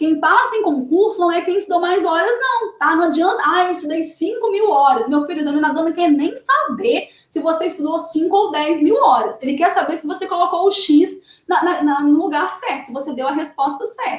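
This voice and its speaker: An animated woman speaks in an extremely high voice with lively intonation. She moves at a fairly quick pace with hardly any pauses. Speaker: exam study coach. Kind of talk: live stream tips talk. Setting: live stream.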